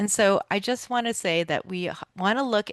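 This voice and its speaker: Against a quiet background, with a dry, close sound and no echo, a woman speaks at a fairly quick pace with ordinary pitch variation. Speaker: PTA council meeting facilitator. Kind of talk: community meeting presentation. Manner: fast.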